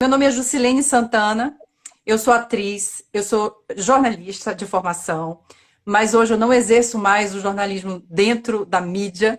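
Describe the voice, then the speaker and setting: A woman talks in a Bahian accent at a fairly slow pace. Her fairly high voice shows ordinary pitch variation. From Bahia, Brazil. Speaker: actress and theatre institute director. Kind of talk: casual chat.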